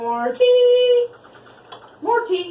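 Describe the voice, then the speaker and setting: A squeaky, put-on character voice sits at an extremely high pitch and swings very widely up and down. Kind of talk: student skit comic acting. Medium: comedy sketch. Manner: oddly emphasized, repetitive.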